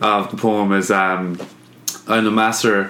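In an Irish accent, a man talks in a flat monotone, with audible room echo in the recording. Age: 20s. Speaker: artist and illustrator. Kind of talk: casual chat.

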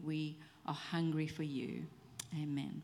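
A woman speaks at a very slow pace in a very deep, low voice with a dark, mellow tone and fairly even intonation. Audible room echo surrounds her. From South Africa. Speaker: pastor's wife. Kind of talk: prayer. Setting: church.

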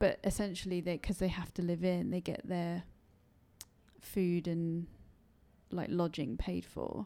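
A woman's fairly low, dark, mellow voice in a London accent, fairly slow with long, frequent pauses and fairly even intonation, on a very clean recording with a silent background. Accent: southern English, London. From England, London. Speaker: British expat. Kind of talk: casual interview. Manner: halting.

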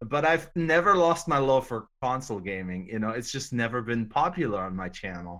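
This man speaks at a moderate pace with hardly any pauses and a medium pitch. His bright, sharp tone swings very widely in pitch, on a very clean recording with a silent background. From Germany. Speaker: guest YouTuber and gamer. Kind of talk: casual chat.

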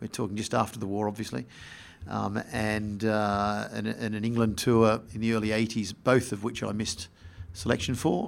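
A man with an Australian accent speaks at a fairly low pitch with fairly even intonation. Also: moderate pace. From Australia (Sydney and Melbourne). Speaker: sports executive. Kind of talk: interview. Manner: halting, repeats words.

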